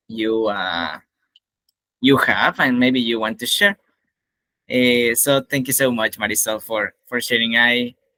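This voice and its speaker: A man with a Spanish accent speaks at medium pitch in a bright, sharp tone, fairly slowly, with long, frequent pauses. The sound is dry and close with no echo. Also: ordinary pitch variation. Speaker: English teacher and event host. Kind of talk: event hosting.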